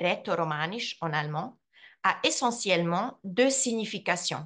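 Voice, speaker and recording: Very slow speech from a woman with a Swiss accent, medium pitch and lively intonation, against a quiet background. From Switzerland, Graubünden (Surselva, Vrin); Graubünden, Switzerland. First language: Romansh (speaking French). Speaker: translator and language teacher; language teacher. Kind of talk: lecture. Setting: video call. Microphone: video call.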